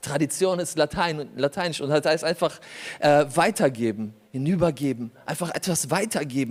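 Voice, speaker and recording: This man sounds animated. He keeps to a moderate pace. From Germany, born in Poland. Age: 40s. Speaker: pastor. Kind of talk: sermon. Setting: church.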